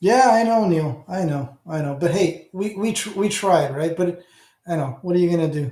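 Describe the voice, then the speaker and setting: A man talks with an Ontario accent. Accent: Hamilton Ontario. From Canada, Hamilton, Ontario. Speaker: audio channel host. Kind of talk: casual livestream chat with viewers. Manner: halting, many false starts.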